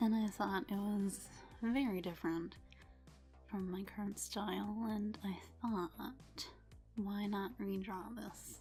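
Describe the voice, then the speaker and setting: Over music in the background, a woman talks very slowly at a medium pitch with fairly even intonation. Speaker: artist. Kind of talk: casual voice-over to drawing video.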